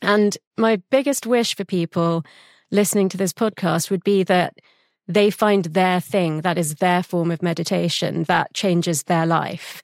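A woman with a British accent, medium pitch and ordinary pitch variation at a fairly slow pace, in a very clean recording with a silent background and a dry, close sound with no echo. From England (London). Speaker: podcast host, therapist. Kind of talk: interview.

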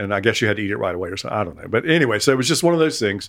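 In a very clean recording with a silent background, a man talks at a medium pitch with a North Carolina accent. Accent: US Southern (North Carolina). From Eastern North Carolina coast. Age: 70s. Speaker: retired chef and cookbook author. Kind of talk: casual interview conversation. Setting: at home in his house. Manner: halting, many repetitions and fillers.

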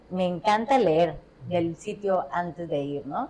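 Speaking in a Mexican accent, a woman keeps a fairly slow pace. Her fairly low pitch shows ordinary variation, and her tone is dark and mellow. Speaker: podcast host. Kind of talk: casual chat.

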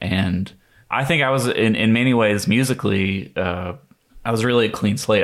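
On a very clean recording with a silent background, a man with an American accent speaks at a moderate pace with ordinary pitch variation. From US South, North Carolina (Rockingham County). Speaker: jazz guitarist and bandleader. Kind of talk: interview. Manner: hesitant, many fillers.

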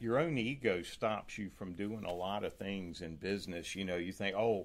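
This man's voice sits fairly low in pitch. His pitch variation is ordinary. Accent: North Carolina. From North Carolina, small town. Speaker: real estate team owner. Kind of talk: casual interview.

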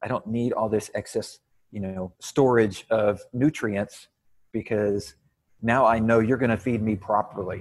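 Delivered at a fairly slow pace, a normal speaking voice with an American accent holds a fairly even intonation. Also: man, medium pitch for a man. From Texas. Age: 40s. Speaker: fitness coach and podcast host. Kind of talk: casual interview chat.

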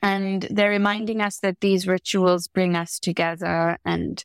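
In a dry, close recording with no echo, a woman speaks at a medium pitch with monotone, flat intonation. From South Africa, Gauteng township (Lenasia). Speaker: architect and biennale artistic director. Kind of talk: interview conversation. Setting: podcast interview.

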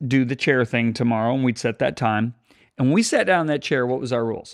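This is a man with a normal speaking voice at medium pitch. His intonation is fairly even. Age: 60s. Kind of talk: casual chat.

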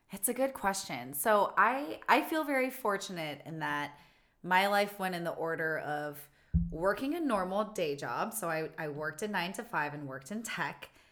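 A woman with an American accent speaks at a moderate pace, her pitch swinging very widely. Music plays in the background. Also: medium pitch for a woman. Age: 30s. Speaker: circus performer and actress. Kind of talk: casual interview.

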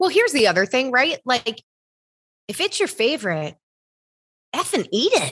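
Speaking at a moderate pace with an American accent, a high-pitched woman leaves long, frequent pauses while her pitch swings very widely. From US Midwest. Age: 30s. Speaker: health coach. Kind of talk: casual interview chat.

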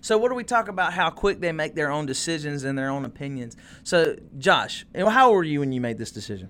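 A man with a fairly high voice talks at a very fast pace in an animated tone, his pitch swinging very widely. The recording is very clean, with a silent background. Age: 20s. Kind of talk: casual chat.

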